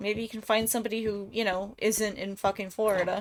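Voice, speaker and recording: A woman speaks with an Ohio accent in a fairly high voice. She talks at a fairly quick pace over noticeable background noise. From Ohio, US Midwest. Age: 30s. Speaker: game streamer. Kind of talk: casual chat while gaming.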